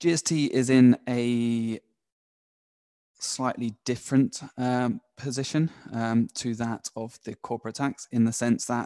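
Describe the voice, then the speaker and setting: The man's medium-pitched voice has a dark, mellow tone and flat, monotone intonation, recorded dry and close with no echo. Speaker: tax advisor. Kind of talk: webinar presentation. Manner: halting.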